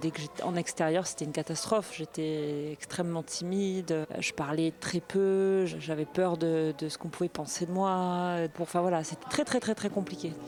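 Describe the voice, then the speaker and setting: Noticeable background noise sits behind a woman's fairly low voice. She keeps a moderate pace with hardly any pauses. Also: fairly even intonation. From southern France, Marseille. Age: 40s. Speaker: former karate world champion. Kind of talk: interview testimony. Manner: hesitant, many fillers.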